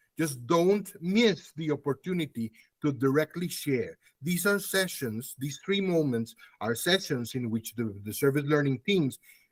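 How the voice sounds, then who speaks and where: In a dry, close sound with no echo, a man with a normal speaking voice talks at a fairly slow pace, fairly high in pitch, with lively intonation. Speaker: academic conference speaker. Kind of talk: conference presentation.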